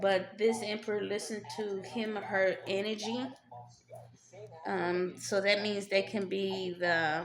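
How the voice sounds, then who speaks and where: A woman speaks with audible room echo. Noticeable background noise runs underneath. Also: medium pitch for a woman, fairly slow pace. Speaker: tarot reader. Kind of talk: tarot reading. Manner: halting, many fillers; casual, conversational.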